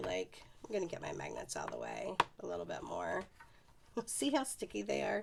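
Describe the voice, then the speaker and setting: This voice moves at a moderate pace over noticeable background noise. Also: woman. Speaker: paper craft demonstrator. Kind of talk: tutorial. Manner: casual, chatty.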